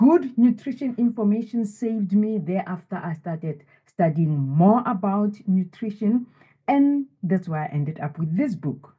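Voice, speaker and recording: A woman speaks at a fairly slow pace in a somewhat breathy voice. Her pitch swings very widely. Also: medium pitch for a woman. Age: 70s. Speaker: wellness author. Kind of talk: interview.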